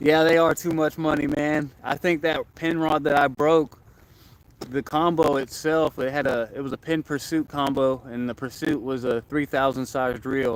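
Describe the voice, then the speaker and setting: A man with an American accent, a normal speaking voice, fairly high pitch, fairly even intonation and a moderate pace. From Florida. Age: 20s. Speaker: angler livestreamer. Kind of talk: casual livestream chat. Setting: outdoors by a lake.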